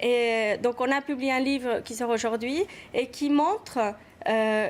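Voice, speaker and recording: At a very slow pace, a woman with an Argentine accent speaks in a high voice. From Argentina. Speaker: activist mother. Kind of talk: TV talk show interview.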